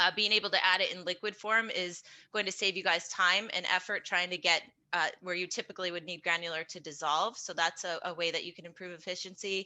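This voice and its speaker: Speaking in an American accent at a fairly quick pace, a woman keeps a medium pitch and a monotone, flat intonation while her loudness swings widely. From New York. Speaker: pool chemical industry representative. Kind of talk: webinar panel presentation. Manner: fast.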